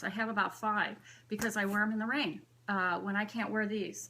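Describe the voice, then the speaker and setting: This is an unremarkable speaking voice. The delivery moves at a fairly quick pace. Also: woman. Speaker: bag collector vlogger. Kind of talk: casual show-and-tell vlog. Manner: chatty, filler-heavy.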